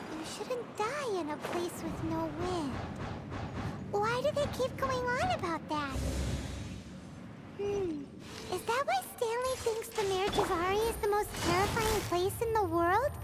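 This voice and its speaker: A cartoonish character voice at an extremely high pitch talks at a fairly slow pace over loud background noise. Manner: lively, blunt.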